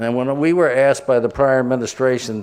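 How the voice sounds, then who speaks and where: A man speaks at a fairly quick pace. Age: 60s. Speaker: real estate developer and board chairman. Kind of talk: ceremony speech. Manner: halting, many restarts.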